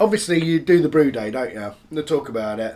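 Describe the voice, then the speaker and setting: A man speaks with a northern English accent. His pitch is fairly high. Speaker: home brewer vlogger. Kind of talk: casual vlog. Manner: chatty.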